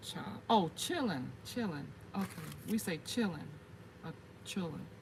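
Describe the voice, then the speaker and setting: Speaking at a fairly slow pace with an American accent, a woman is heard through audible room echo and noticeable background noise. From US South, South Carolina (Gullah Geechee area). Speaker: gardening YouTuber, military veteran. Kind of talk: livestream casual chat. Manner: chatty, halting with fillers.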